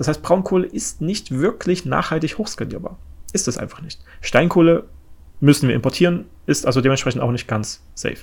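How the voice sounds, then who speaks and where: A man talks at a fairly quick pace with a fairly high pitch and lively intonation. Vocal fry shows in his voice. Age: 30s. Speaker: podcast host on energy industry. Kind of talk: solo explanatory podcast. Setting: home office, different room. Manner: many filler sounds (äh, ähm).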